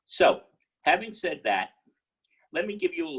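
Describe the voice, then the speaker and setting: A man is speaking. He has a New York accent. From New York City. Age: 70s. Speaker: entrepreneur. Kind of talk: guest lecture.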